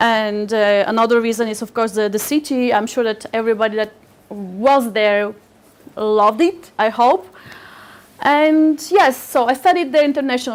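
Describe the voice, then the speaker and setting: A woman with a Turkish accent, high-pitched and lively in intonation, at a moderate pace. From Bulgaria, Razgrad region, Turkish minority. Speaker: literary agent, speaker. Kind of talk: public talk. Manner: halting, many repetitions.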